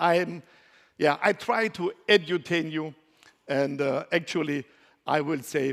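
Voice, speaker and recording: A man with a German accent speaks at a fairly high pitch and a fairly slow pace. His loudness swings widely, and he leaves long, frequent pauses. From Germany. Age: 50s. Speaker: conference speaker. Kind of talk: conference talk. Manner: halting.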